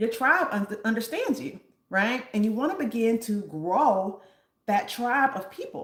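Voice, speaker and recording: The woman's voice is somewhat breathy and fairly high in pitch, with ordinary pitch variation. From US South, Nashville, Tennessee. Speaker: reiki healer and sound therapist. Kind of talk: live stream talk with chat. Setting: live stream. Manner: animated.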